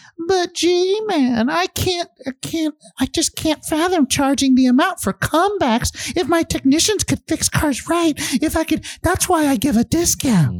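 Put-on character voice, high-pitched and squeaky, at a fairly slow pace. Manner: put-on voice, defensive.

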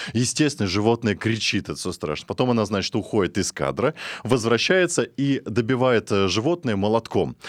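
With a normal speaking voice, a man at a medium pitch talks at a moderate pace with lively intonation, recorded very cleanly against a silent background in a dry, close sound with no echo. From Russian countryside. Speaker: radio host. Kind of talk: talk radio discussion. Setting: studio.

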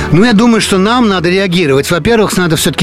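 A man's high-pitched voice with lively intonation over noticeable background noise. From France, Paris. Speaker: journalist and émigré community leader. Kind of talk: radio interview. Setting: studio.

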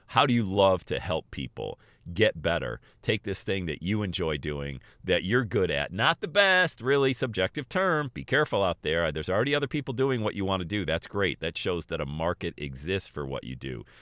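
A man delivers his words in an animated tone at a fairly quick pace. His very deep, low voice shows vocal fry and very wide pitch swings. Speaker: podcast host and motivational speaker. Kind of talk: motivational solo monologue. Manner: fast talker; animated, motivational.

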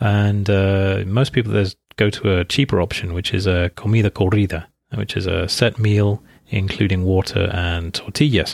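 This man has an English accent and a fairly low pitch. He speaks at a moderate pace with fairly even intonation. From England. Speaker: podcast host, English teacher and translator. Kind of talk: scripted narration. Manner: hesitant, many fillers.

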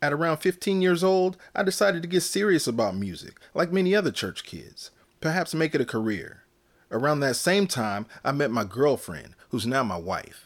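A man with an American accent speaks at a fairly high pitch, moving through very wide pitch swings. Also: very clean recording, silent background. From Northern California. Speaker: podcast host and gospel music educator. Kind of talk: scripted monologue.

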